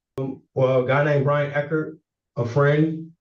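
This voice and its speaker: This man's voice is fairly high and somewhat breathy. He keeps a moderate pace. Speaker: defendant. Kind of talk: court hearing testimony. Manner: halting, repetitive.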